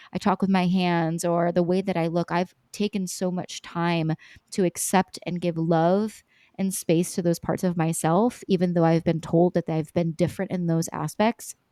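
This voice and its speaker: A woman speaks with a fairly low pitch and monotone, flat intonation. The sound is dry and close, with no echo. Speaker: business coach. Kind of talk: podcast interview. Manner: fast; loud.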